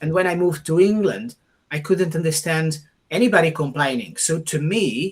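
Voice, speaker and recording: A man with a Portuguese accent speaks at a fairly high pitch with ordinary pitch variation. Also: moderate pace. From Portugal. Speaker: podcast host. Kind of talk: conversational interview.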